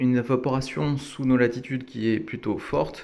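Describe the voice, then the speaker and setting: A man's voice is heard. His pace is moderate. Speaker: aquarium hobbyist. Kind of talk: tutorial. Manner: casual with frequent hesitations.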